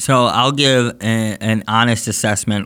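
A man speaks in a fairly low voice with flat, monotone intonation. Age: 30s. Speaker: state senator. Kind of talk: casual political discussion. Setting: studio.

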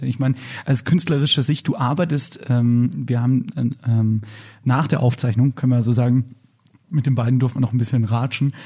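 A dark, mellow, somewhat breathy voice at a moderate pace. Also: man. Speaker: podcast co-host. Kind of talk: casual chat. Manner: excitable.

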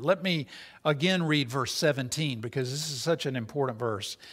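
Recorded very clean with a silent background, a man with a normal speaking voice talks at medium pitch with ordinary pitch variation. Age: 60s. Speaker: interim pastor. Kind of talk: sermon. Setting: church.

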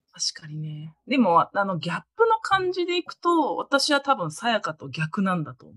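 At a moderate pace and with hardly any pauses, a woman speaks in a high pitch with very wide pitch swings and big swings in loudness, the sound dry and close with no echo. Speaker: guest, university friend of host. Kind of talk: casual chat. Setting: online call.

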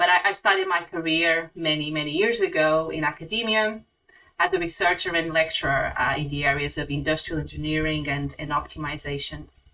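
A woman with a Portuguese accent, fairly low in pitch and at a fairly quick pace. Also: ordinary pitch variation. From Portugal. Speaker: software executive. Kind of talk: interview.

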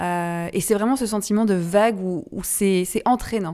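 The background is silent, and the recording is very clean. A woman's speech moves at a fairly slow pace, with ordinary pitch variation. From Brittany, France. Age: 30s. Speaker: podcast host, founder of a women's empowerment association. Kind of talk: casual conversation / interview. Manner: halting, many hesitations and repetitions.

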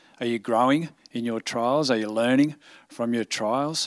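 Recorded very cleanly with a silent background, a normal speaking voice moves at a fairly slow pace with fairly even intonation. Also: man. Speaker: church staff member. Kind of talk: prayer and closing remarks.

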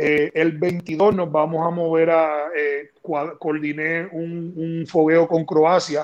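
A man with a Puerto Rican accent speaks at a fairly high pitch in a flat, monotone delivery. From Puerto Rico, Toa Alta. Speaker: basketball general manager, former player. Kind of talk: interview.

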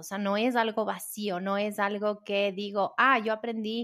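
A woman with an ordinary speaking voice talks at a medium pitch and a fairly slow pace. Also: very clean recording, silent background. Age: 40s. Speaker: breathwork coach and podcast host. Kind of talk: solo podcast monologue, Q&A answers.

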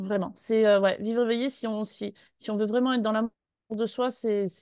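A woman's fairly high voice at a fairly slow pace. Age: 30s. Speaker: former pastry chef retraining as massage therapist. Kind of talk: interview testimony. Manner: halting.

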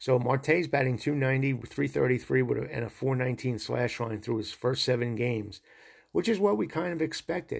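At a fairly quick pace, a man with an American accent speaks in an enthusiastic tone at medium pitch, with ordinary pitch variation and vocal fry. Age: 60s. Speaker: sports podcast host. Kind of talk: solo podcast monologue.

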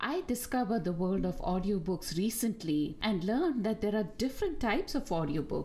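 A woman is speaking. She has a Tamil accent. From India, Bangalore. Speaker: podcast host. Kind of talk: casual chat.

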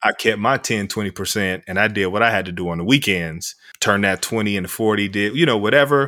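A man's very fast speech, fairly low in pitch with a bright, sharp tone, on a very clean recording over a silent background. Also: ordinary pitch variation, hardly any pauses. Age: 40s. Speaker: sociology professor. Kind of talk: casual chat.

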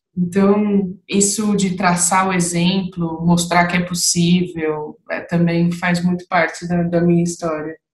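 A woman's somewhat breathy, fairly low voice, very slow and monotone with flat intonation and hardly any pauses. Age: 30s. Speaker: manager. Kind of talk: casual chat.

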